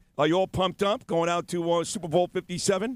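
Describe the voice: A fairly quick pace, clear and smooth tone, ordinary pitch variation, and a very clean recording against a silent background. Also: man, high pitch for a man.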